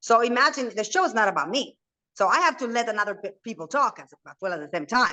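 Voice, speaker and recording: A woman with a Spanish accent speaks in a bright, sharp tone with very wide pitch swings. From Argentina, Buenos Aires. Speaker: reality TV personality and entrepreneur. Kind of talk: interview. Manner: talkative, fast.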